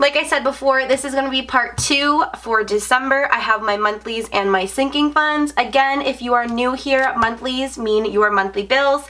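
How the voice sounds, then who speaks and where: A woman with a high pitch raises and projects her voice, with ordinary pitch variation. She keeps a moderate pace with hardly any pauses, over noticeable background noise. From Canada. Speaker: budgeting vlogger. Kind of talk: casual vlog tutorial.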